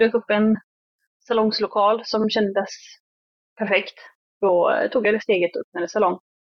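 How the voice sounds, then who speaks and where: Long, frequent pauses break up this woman's moderate-paced speech. Her fairly high voice stays monotone and flat. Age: 30s. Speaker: hairdresser and salon owner. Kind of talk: interview.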